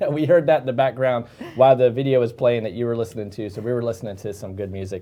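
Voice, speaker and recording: An American-accented man talks at a very fast pace with medium pitch and ordinary pitch variation. His loudness swings widely over noticeable background noise. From Gainesville, Florida. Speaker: mortgage loan officer and show host. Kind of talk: live interview show.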